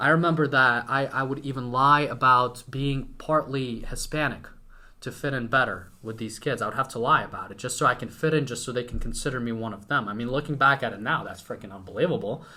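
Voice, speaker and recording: A man's bright, sharp voice at a fairly quick pace, fairly even in intonation, with big swings in loudness. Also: medium pitch for a man. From Ukraine, western (near Hungarian border). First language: Ukrainian. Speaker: entrepreneur. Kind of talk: casual chat.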